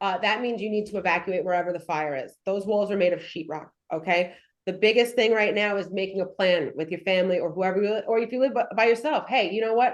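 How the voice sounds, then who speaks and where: Speaking very fast in a New York accent, a woman with a medium pitch uses ordinary pitch variation. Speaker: firefighter giving fire safety talk. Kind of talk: presentation. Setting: in-person presentation to audience.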